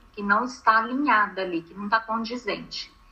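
A woman at a moderate pace with lively intonation over noticeable background noise. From Brazil, Minas Gerais. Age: 40s. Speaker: image consultant. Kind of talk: interview.

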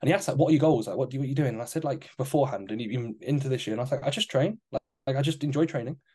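With an English accent, a man speaks at a very fast pace with hardly any pauses, somewhat breathy, with a fairly high pitch, a dark, mellow tone and ordinary pitch variation. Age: 20s. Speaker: fitness coach and podcast co-host. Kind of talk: casual chat.

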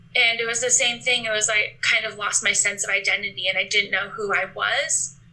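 Amid noticeable background noise, a woman with a fairly high pitch speaks at a fairly quick pace with fairly even intonation and hardly any pauses. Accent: American. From Alaska, US. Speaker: guest sharing eating disorder recovery. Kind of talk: interview.

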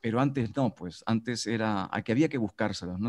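Against a quiet background, a man talks at a moderate pace, his pitch varying in an ordinary way. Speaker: radio announcer and teacher. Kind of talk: casual chat. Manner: hesitant, many fillers.

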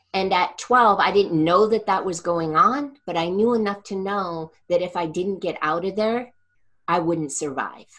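With a normal speaking voice, a woman talks at a fairly slow pace and medium pitch, using ordinary pitch variation. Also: quiet background. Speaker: energy healer and coach. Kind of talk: interview conversation.

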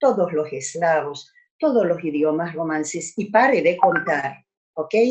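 A woman speaks at a fairly slow pace with a Hungarian accent. Her pitch swings very widely. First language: Hungarian (speaking Spanish). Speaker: language teacher. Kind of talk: lecture.

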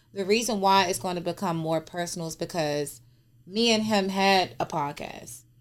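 Using an unremarkable speaking voice, a woman talks at medium pitch with ordinary pitch variation and a moderate pace. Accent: American. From DMV area (Washington DC region). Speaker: social media personality. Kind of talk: casual chat.

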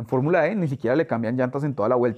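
A man's very fast delivery with ordinary pitch variation. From Colombia, Bogotá. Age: 30s. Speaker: chemical industry sales director. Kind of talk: interview.

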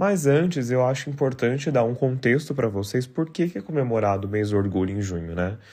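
With a dark, mellow tone, a man talks fairly quickly. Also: medium pitch for a man, lively intonation, hardly any pauses. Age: 30s. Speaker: podcast host. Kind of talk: solo podcast monologue.

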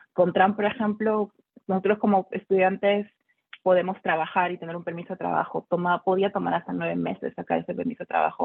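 A woman talks at a fairly quick pace in a plain, everyday voice. Her pitch is medium and her intonation fairly even. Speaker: doctoral student. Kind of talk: panel discussion. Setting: video call.

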